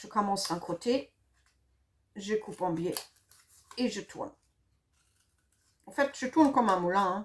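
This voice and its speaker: A woman at a medium pitch and fairly slow pace, with lively intonation, big swings in loudness and long, frequent pauses. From Germany. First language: German (speaking French). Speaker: craft product demonstrator. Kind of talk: tutorial. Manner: hesitant, many fillers.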